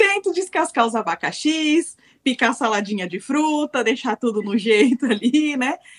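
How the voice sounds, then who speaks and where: A high-pitched woman speaks at a fairly slow pace, her pitch swinging very widely. The sound is dry and close, with no echo. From Brazil. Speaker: web TV team member. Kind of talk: casual chat.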